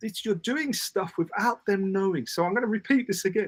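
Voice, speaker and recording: Animated and high-pitched, a man with a British accent is recorded with a dry, close sound and no echo. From Britain. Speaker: parenting communication coach. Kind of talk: casual interview chat.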